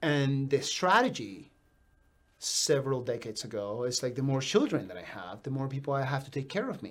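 A man talks in a normal speaking voice at medium pitch, with lively intonation and a fairly quick pace. His loudness swings widely. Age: 40s. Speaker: podcast host. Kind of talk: casual chat. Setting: studio.

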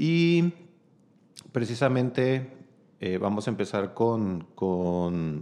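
A man's dark, mellow tone. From Chihuahua, Mexico. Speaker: cellist, singer and music school director. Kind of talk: casual interview chat.

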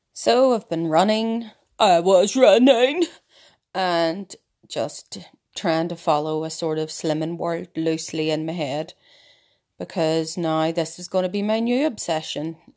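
A woman with a Northern Irish accent speaks at a fairly slow pace and fairly low pitch with lively intonation, on a very clean recording with a silent background. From Ireland. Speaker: podcast host. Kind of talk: casual monologue. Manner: animated.

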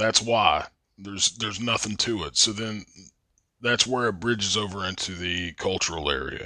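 At a moderate pace, a man speaks with a fairly low pitch. His tone is bright and sharp. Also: ordinary pitch variation. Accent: Appalachian. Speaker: podcast host. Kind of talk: casual monologue.

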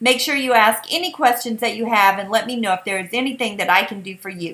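A woman's fairly high pitch in a Southern US accent, upbeat in tone and bright, sharp in sound. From US South, South Carolina. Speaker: podcast host and online seller. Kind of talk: casual Facebook Live style talk. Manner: friendly, upbeat, chatty.

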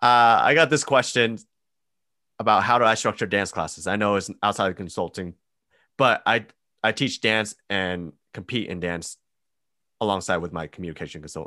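Long, frequent pauses break up a man's fairly low-pitched voice with a bright, sharp tone in a very clean recording with a silent background. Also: ordinary pitch variation, moderate pace. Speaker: podcast co-host. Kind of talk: casual chat.

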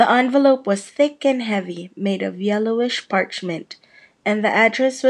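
The speaker is plainly reading aloud. Pitch variation is ordinary.

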